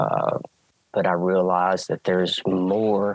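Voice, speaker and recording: Very slowly, a man talks in an Alabama accent, recorded dry and close with no echo. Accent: Southern US (Alabama). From US South, rural Alabama. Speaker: track and field coach. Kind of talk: casual interview chat.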